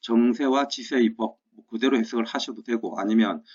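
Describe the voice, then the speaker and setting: Medium-pitched and fairly even in intonation, a man talks at a moderate pace. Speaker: history teacher. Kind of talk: lecture. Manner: emphatic.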